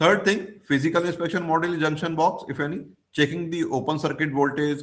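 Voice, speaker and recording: A man speaking amid audible room echo. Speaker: professor of mechanical engineering. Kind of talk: lecture. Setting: video call. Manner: halting.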